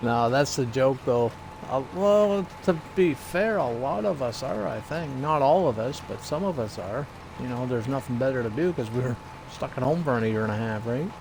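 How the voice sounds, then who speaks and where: With noticeable background noise behind him, a man talks at a moderate pace in a medium pitch, his intonation lively. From Atlantic Canada (New Brunswick). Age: 40s. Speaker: gaming streamer. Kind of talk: casual chat. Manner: casual, halting with fillers.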